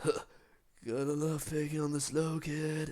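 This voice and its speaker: In a put-on character voice, a man drawls at a fairly slow pace, his pitch fairly high. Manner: spaced-out.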